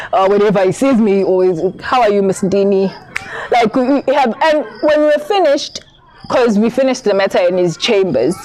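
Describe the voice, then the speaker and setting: A fairly high-pitched woman at a fairly quick pace, with very even loudness, over noticeable background noise. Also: lively intonation. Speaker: candidate attorney, vlogger. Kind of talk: advice vlog. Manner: halting.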